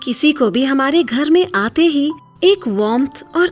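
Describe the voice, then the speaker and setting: A woman's pitch swings very widely as music plays in the background. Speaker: voice-over artist. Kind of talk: emotional diary-style story narration. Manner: soft, emotional.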